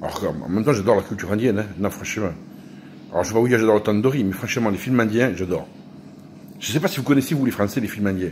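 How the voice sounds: A man's fairly low voice with a slightly mellow tone, a fast pace, and ordinary pitch variation.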